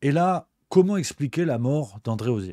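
A man speaks at a fairly slow pace with lively intonation, his voice dry with no echo against a quiet background. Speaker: political commentator / streamer; political commentator streamer. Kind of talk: book review on a live stream. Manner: casual, joking. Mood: ironic, sceptical. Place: home room. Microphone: studio mic.

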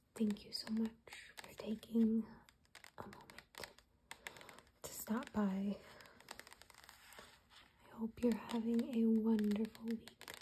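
Soft-spoken woman's voice, fairly high in pitch, monotone and flat, at a very slow pace with long, frequent pauses, big swings in loudness and light background noise. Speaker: ASMR creator. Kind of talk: ASMR magazine reading.

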